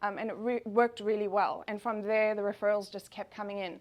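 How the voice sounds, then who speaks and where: Here a woman speaks with a South African accent. Her pitch is fairly high, and the background is quiet. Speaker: travel agent. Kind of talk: business presentation. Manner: fast.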